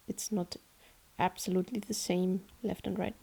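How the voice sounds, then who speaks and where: A woman speaks with a German accent. Her tone is dark and mellow. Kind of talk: tutorial narration. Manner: casual, hesitant.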